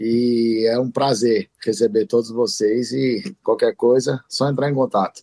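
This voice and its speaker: A man's dark, mellow voice at a medium pitch moves fairly slowly with ordinary pitch variation, very even loudness and hardly any pauses, in a dry, close sound with no echo. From Brasília, Brazil. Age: 30s. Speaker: entrepreneur and emcee. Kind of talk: casual chat.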